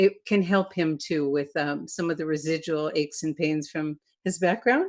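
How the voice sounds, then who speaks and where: A woman with a normal speaking voice, fairly low in pitch, talks at a moderate pace with ordinary pitch variation. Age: 60s. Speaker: event host. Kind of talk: webinar discussion.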